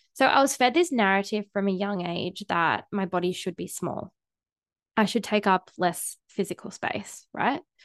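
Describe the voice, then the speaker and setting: A woman with a plain, everyday voice speaks at a moderate pace and medium pitch with ordinary pitch variation, her dry, close sound free of echo against a quiet background. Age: 30s. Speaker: sex and relationship coach, podcast host. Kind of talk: solo podcast monologue. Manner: casual, frequent filler words.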